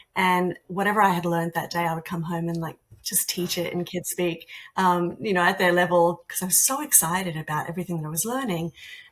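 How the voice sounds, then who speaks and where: A woman with an Australian accent speaks very fast in a fairly low, somewhat breathy voice with fairly even intonation. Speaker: artist and art teacher. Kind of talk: interview conversation.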